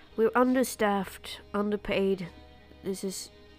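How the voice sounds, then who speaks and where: Over clear music in the background, a woman puts on a gruff character voice and speaks at a fairly slow pace. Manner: nervous, condescending, gruff.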